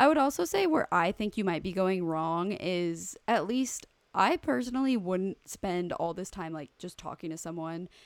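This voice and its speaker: A woman with a plain, everyday voice talks at a moderate pace and medium pitch with hardly any pauses, lively intonation and big swings in loudness, on a very clean recording with a silent background. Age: 20s. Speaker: podcast co-host. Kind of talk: reading listener email aloud; casual chat.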